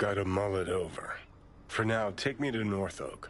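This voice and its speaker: Clear background noise sits behind a man putting on a character voice. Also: fairly low pitch for a man, moderate pace. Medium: video game. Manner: dry, clipped.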